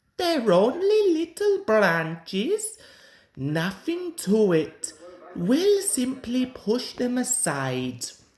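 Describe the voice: This is a put-on character voice with a slightly mellow tone. It moves at a very slow pace with very wide pitch swings. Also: man, extremely high pitch for a man.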